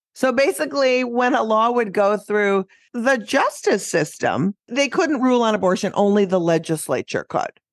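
In a dry, close sound with no echo and a quiet background, a woman with an ordinary speaking voice and fairly high pitch talks with lively intonation, very even loudness and hardly any pauses. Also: moderate pace. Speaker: comedian and activist podcast host. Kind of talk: casual chat.

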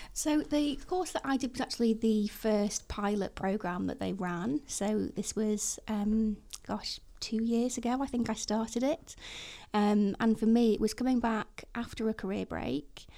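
A dark, mellow tone in a northwest English accent, at a fairly slow pace with ordinary pitch variation. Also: woman, fairly high pitch for a woman. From Chester, northwest England. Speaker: front-end developer. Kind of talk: casual chat. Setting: studio.

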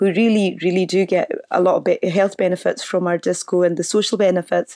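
Against a quiet background, a woman talks at a medium pitch and a moderate pace in a dark, mellow tone. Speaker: social enterprise organiser. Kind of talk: casual interview.

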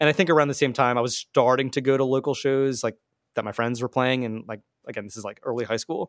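A man with an American accent at a very fast pace, his intonation fairly even and his loudness swinging widely, in a dry, close sound with no echo over a silent background on a very clean recording. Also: medium pitch for a man. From southern New Jersey. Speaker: concert videographer. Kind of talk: casual interview chat.

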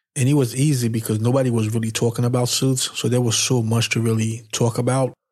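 His voice comes across as somewhat breathy. The man is pitched at a medium level. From Haiti. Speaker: menswear YouTuber and podcaster. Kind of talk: solo podcast monologue, personal storytelling. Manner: casual, energetic.

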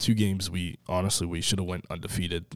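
The speaker has an American accent and a moderate pace with fairly even intonation. The recording is very clean, with a silent background. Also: man. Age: 20s. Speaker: college baseball player. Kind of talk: interview.

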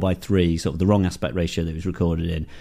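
The man speaking has a dark, mellow tone. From northern England, Darlington. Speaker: film and TV director. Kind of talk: interview. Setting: garden shed.

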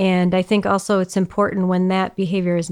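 A woman speaks at a fairly quick pace and medium pitch. The recording is very clean, with a silent background. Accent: American. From US Midwest, Metro Detroit. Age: 30s. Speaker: automotive executive. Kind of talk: interview. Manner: calm.

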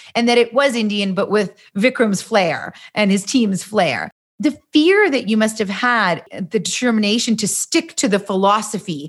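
A woman with a Canadian accent, fairly high pitch and somewhat breathy delivery, at a moderate pace with ordinary pitch variation, on a very clean recording with a silent background. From Canada. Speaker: podcast host. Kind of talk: interview.

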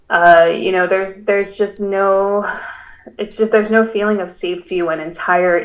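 Noticeable noise sits behind a woman whose intonation stays fairly even. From Guam. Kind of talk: interview. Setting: remote call.

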